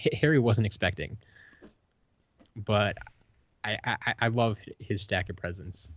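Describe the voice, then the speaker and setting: A man's fairly low, somewhat breathy voice with an American accent and long, frequent pauses. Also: ordinary pitch variation, fairly slow pace. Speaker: podcast co-host. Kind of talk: casual chat.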